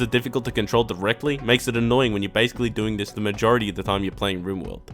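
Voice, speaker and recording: Someone speaks with an Australian accent while music plays in the background. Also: man. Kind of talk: casual video game review narration. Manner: sarcastic, jokey.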